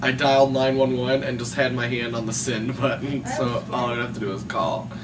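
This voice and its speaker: A man at a moderate pace, noticeable background noise behind him. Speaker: video blogger. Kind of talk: casual vlog chat. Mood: amused, joking, laughing. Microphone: camera far.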